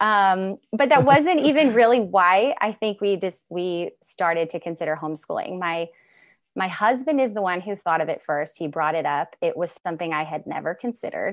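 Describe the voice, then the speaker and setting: This is an ordinary speaking voice with an American accent and lively intonation. It moves at a moderate pace against a quiet background. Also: woman, medium pitch for a woman. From Northern California. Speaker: homeschooling mother and advocate. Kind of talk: casual interview conversation. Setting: remote call from Washington state.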